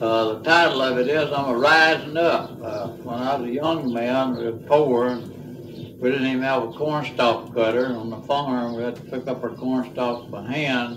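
Against noticeable background noise, a man speaks at a moderate pace and hardly pauses. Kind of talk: casual spoken monologue. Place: garden. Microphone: old recording.

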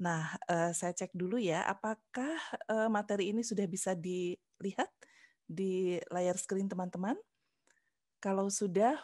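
A woman speaks very slowly with ordinary pitch variation. The sound is dry with no echo, and the background is quiet. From Central Java and Bandung, West Java; West Java, Indonesia. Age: 50s. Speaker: university lecturer. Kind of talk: lecture. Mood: warm, friendly. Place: home room. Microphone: headset.

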